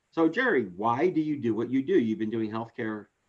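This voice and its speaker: This man uses a plain, everyday voice at a medium pitch, talking moderately fast with ordinary pitch variation. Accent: American. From Philadelphia. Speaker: business coach. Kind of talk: interview.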